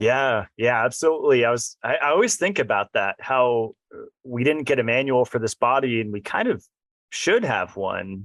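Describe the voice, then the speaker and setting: Recorded dry and close with no echo, a man speaks at medium pitch and a moderate pace. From California, San Diego. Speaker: podcast host. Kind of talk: interview.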